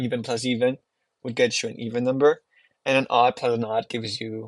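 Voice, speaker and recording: A man with a non-native accent at a fairly quick pace, in a dry, close recording free of echo. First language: not English. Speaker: math teacher. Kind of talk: homework walkthrough tutorial. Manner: casual, with frequent fillers.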